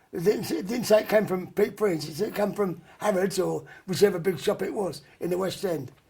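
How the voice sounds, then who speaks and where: A man with a Cockney accent talks at a fairly quick pace with hardly any pauses. His voice is high-pitched for a man, with a dark, mellow tone. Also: ordinary pitch variation. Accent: London Cockney. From London (Bermondsey, south-east London). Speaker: rock and roll singer. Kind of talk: interview. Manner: halting, hesitant with fillers.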